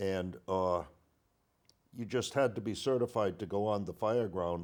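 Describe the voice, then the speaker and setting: A man with a plain, everyday voice talks at a fairly slow pace with a fairly low pitch and an American accent. His pitch varies in an ordinary way, and the recording is very clean with a silent background. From Groton, Connecticut. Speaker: local politician and retired volunteer firefighter. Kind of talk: interview.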